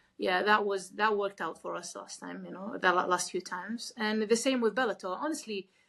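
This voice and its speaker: With a bright, sharp tone and vocal fry, a woman speaks at medium pitch and a fairly quick pace, her pitch varying in an ordinary way. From Kuwait. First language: not English. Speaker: MMA fighter. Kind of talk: interview. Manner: halting.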